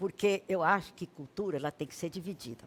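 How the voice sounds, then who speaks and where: The woman's voice sits at a fairly low pitch. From Brazil, Piauí. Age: 70s. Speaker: writer and lawyer, academy president. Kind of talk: interview. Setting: studio.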